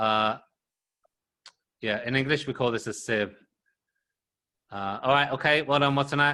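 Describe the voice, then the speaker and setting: With a British accent and a bright, sharp tone, a man speaks at a moderate pace in a very clean recording with a silent background. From UK. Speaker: English teacher. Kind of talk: classroom lesson.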